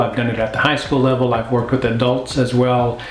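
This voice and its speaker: With an American accent and a relaxed tone, a man speaks at medium pitch amid audible room echo and noticeable background noise. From Oklahoma, US. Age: 60s. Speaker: vlogger, retired educator and pastor. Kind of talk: casual vlog talk. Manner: relaxed with frequent fillers.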